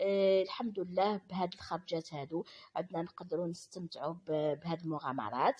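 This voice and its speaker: A woman's fairly low-pitched voice, ordinary pitch variation, moderate pace, and hardly any pauses. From Algeria. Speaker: vlogger. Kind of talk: vlog voiceover narration. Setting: voiceover recorded after filming. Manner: halting, many fillers and restarts.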